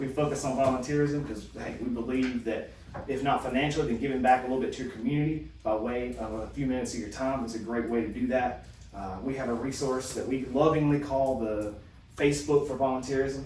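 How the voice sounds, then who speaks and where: Delivered at a very fast pace with a Mississippi accent, the speech has audible room echo and noticeable background noise. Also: man, medium pitch for a man. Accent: Southern US (Mississippi). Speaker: charity representative. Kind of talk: presentation at public meeting. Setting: county board meeting room. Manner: animated.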